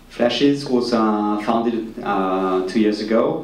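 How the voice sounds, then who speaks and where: Noticeable background noise and audible room echo surround the recording. A man with a French accent speaks at a moderate pace and a fairly low pitch. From France. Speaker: business executive. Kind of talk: panel presentation.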